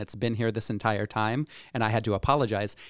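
A man with a Midwestern US accent speaks at a fairly quick pace and medium pitch, his intonation fairly even. The recording is very clean and silent in the background, with a dry, close sound and no echo. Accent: US Midwest. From Iowa, Cedar Rapids. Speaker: entrepreneur and community activist. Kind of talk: podcast interview.

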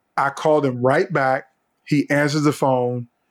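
A man with an American accent has an unremarkable speaking voice at a medium pitch. The recording is very clean, with a silent background. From Virginia, US. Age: 50s. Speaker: leadership speaker and former political advisor. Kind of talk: interview storytelling.

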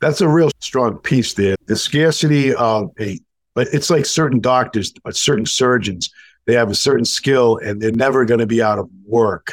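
With an American accent, a man in an unremarkable speaking voice talks at a moderate pace and medium pitch, with ordinary pitch variation, in a dry, close sound with no echo. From New England, US. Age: 60s. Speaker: sales and marketing coach. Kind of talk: casual interview conversation.

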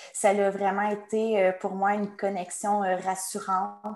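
A woman speaks at a medium pitch with monotone, flat intonation. Noticeable background noise is present. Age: 20s. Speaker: online shop employee. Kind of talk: testimony.

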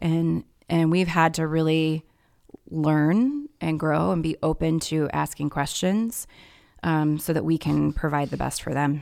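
A woman with an American accent speaks in a very deep, low voice with ordinary pitch variation, on a very clean recording with a silent background. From Indianapolis, Indiana. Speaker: adoptive mother, holds a doctorate. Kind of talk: casual interview.

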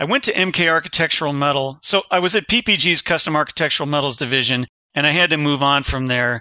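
Very fast speech in an American accent, bright and sharp in tone, with ordinary pitch variation, very even loudness and a dry, close sound with no echo. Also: man, fairly high pitch for a man. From Ohio, grew up on a farm in Kensington after early years near Chicago. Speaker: engineering firm CEO and podcaster. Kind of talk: interview conversation.

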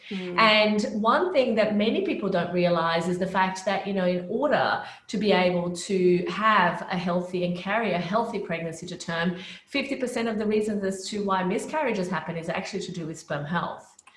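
Over noticeable background noise and audible room echo, a woman speaks at a fairly quick pace with a medium pitch and ordinary pitch variation. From Brazil, then Australia from age 13. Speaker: naturopathic doctor, fertility specialist. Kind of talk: interview.

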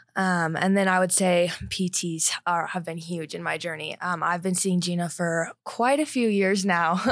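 A woman with a General American accent speaks in an ordinary speaking voice at a moderate pace and fairly low pitch, with fairly even intonation, in a very clean recording with a silent background. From Colorado (Highlands Ranch). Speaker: collegiate cross-country runner. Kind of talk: interview.

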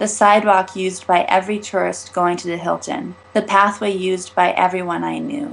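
Through noticeable background noise, a woman speaks at a medium pitch and a moderate pace with fairly even intonation. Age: 20s. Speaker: author. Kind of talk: reading aloud.

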